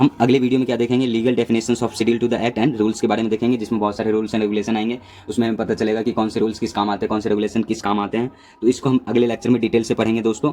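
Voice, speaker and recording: A man speaks at medium pitch with a dark, mellow tone. His intonation is monotone and flat, with hardly any pauses. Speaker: pharmacy lecturer. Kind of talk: lecture. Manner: hesitant fillers.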